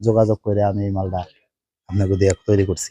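Dry and close with no echo, this recording has a man speaking in a dark, mellow tone. His intonation stays fairly even. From Bangladesh, Gopalganj. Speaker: migrant worker, customer. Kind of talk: customer testimonial.

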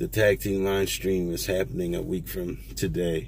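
A man at a fairly slow pace, dry sound with no echo and light background noise. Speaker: toy collector vlogger. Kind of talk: casual vlog chat. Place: car. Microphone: phone near.

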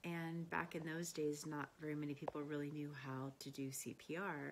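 A woman speaks fairly slowly, her intonation fairly even. Light background noise is present. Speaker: emergency care instructor. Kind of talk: personal testimonial, casual talk. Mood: warm, reflective. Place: home room. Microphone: phone near.

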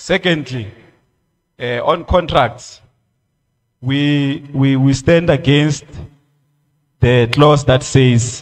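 Somewhat breathy, a man talks at a very slow pace with a quiet background. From South Africa. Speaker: creative industry federation official. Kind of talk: public hearing submission. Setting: community hall public hearing. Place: hall. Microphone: podium.

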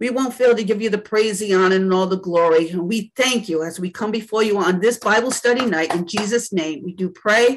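A woman's warm, medium-pitched voice, fairly quick with hardly any pauses, ordinary pitch variation, and light background noise. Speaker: church elder leading Bible study. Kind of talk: Bible study teaching with opening prayer. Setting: video call. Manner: fervent, preacherly, with frequent praise; warm, conversational, halting with fillers. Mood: fervent, reverent. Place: home room. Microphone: video call.

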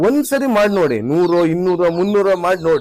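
This man speaks with lively intonation. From Karnataka, Shivamogga district (Malnad). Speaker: poultry farmer. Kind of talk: farm tour explanation.

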